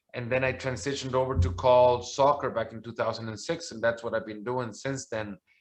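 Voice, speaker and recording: Speaking at a fairly quick pace with hardly any pauses, a man holds a medium pitch with ordinary pitch variation while his loudness swings a lot. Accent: Spanish. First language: Spanish. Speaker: soccer commentator. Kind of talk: interview. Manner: halting, many repeated words.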